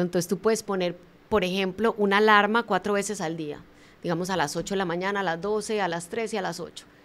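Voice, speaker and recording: A woman with an unremarkable speaking voice talks at a fairly quick pace. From Colombia. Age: 50s. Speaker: motivational speaker and author. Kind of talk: interview.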